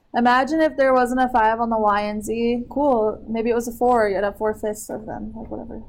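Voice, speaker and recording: Here is an ordinary speaking voice at a fairly quick pace, with fairly even intonation and hardly any pauses. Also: woman, fairly high pitch for a woman. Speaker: math teacher. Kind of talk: classroom lesson.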